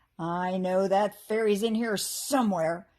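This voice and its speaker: Putting on a loud, rumbling, gruff character voice, a female-sounding speaker talks at a medium pitch and a fairly slow pace. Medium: read story. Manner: grumbling, quarrelsome.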